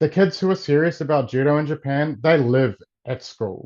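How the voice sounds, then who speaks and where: A man speaks in a New Zealand accent with ordinary pitch variation. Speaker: martial arts coach. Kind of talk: interview.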